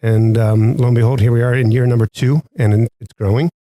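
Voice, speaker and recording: A man speaks at a medium pitch in a dark, mellow tone. The sound is dry and close, with no echo. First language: American Sign Language. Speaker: teacher and club advisor. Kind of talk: interview. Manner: hesitant, many fillers.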